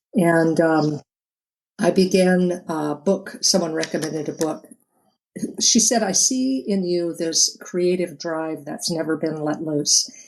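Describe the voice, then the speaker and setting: A woman with an American accent, fairly low-pitched, at a very slow pace with ordinary pitch variation. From eastern Oregon, US. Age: 60s. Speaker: author. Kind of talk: interview.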